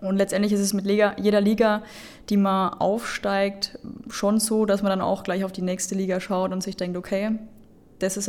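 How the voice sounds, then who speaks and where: In a monotone, flat way, a woman talks at a medium pitch. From Lower Franconia, Bavaria. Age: 20s. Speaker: football referee. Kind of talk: interview.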